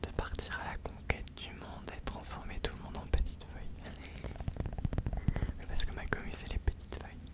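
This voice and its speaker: A man whispering in a relaxed tone at a moderate pace, with long, frequent pauses and noticeable background noise. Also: big swings in loudness. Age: 20s. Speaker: ASMR content creator. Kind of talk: casual talk to camera, life update chat. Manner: soft-spoken, relaxed, hesitant.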